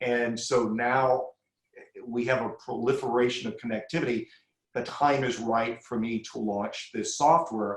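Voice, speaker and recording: A man with a plain, everyday voice, medium pitch, fairly even intonation and a fairly slow pace. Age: 60s. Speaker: crisis communications expert. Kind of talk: podcast interview.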